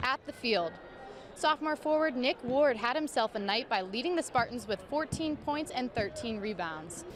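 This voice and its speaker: A woman's lively intonation and moderate pace come through over noticeable background noise. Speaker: sports reporter. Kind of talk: sports news report.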